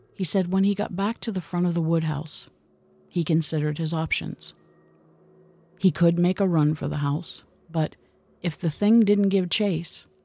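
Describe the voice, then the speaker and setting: On a very clean recording with a silent background, a woman speaks at a moderate pace in a calm, dramatic tone that is dark and mellow, with fairly low pitch and fairly even intonation. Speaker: podcast host and storyteller. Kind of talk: scripted-style spooky storytelling, occult podcast narration; true-crime/horror narration, hushed and suspenseful retelling of an eerie encounter. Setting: studio podcast recording. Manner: measured, dramatic and suspenseful, building dread as the story unfolds; calm, mystical, storytelling cadence.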